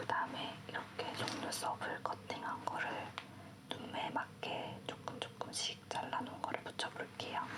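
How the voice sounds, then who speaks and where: A woman whispering at a fairly slow pace with very even loudness, over noticeable background noise. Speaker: makeup artist. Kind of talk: makeup tutorial narration. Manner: whispered, soft-spoken.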